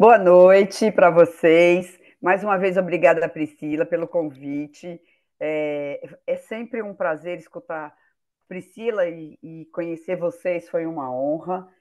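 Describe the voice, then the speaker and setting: A woman's fairly low voice at a very slow pace, with ordinary pitch variation and big swings in loudness. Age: 60s. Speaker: business owner, participant. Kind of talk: participant testimony.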